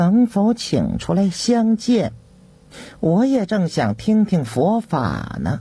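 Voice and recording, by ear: Using a put-on character voice, a man speaks slowly at a high pitch, with a dark, mellow tone, a slightly husky edge and big pitch swings.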